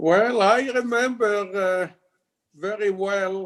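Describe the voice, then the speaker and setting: A man with an Israeli accent speaks at a very slow pace. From Israel (Tel Aviv area). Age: 80s+. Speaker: congregation member. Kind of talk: life story interview.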